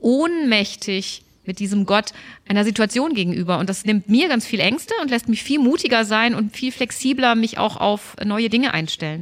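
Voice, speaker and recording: Lively intonation marks a woman with an unremarkable speaking voice, who talks at a fairly high pitch and a moderate pace. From Germany, Stuttgart (Swabia). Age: 50s. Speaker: pastor. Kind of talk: casual interview chat.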